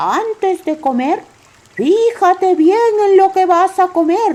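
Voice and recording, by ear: This is a put-on character voice at an extremely high pitch. The pace is fairly slow.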